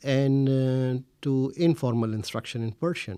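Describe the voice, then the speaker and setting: A man with a Pakistani accent speaks at a fairly slow pace. The recording is very clean, and the background is silent. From India, Delhi. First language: Urdu. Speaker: researcher. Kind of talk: interview. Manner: hesitant, many fillers.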